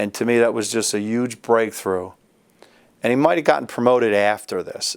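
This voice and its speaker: A man with an American accent speaks at medium pitch in an ordinary speaking voice, his intonation fairly even. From Philadelphia. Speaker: judge and army veteran. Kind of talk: interview answer.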